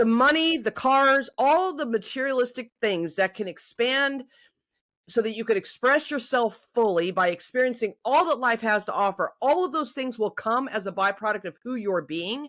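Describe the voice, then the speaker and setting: Loud, animated female speech at a high pitch, with lively intonation and a moderate pace. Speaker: life coach and podcast host. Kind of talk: casual interview chat.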